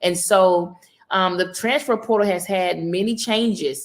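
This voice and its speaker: A woman with a Southern accent, at a fairly slow pace. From US South, Mississippi. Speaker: college basketball coach. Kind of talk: interview.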